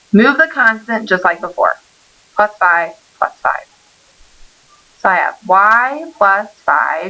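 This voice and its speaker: Very wide pitch swings mark a woman's medium-pitched voice at a very slow pace. Noticeable background noise runs underneath. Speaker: math teacher. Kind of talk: recorded lesson. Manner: stumbling over words.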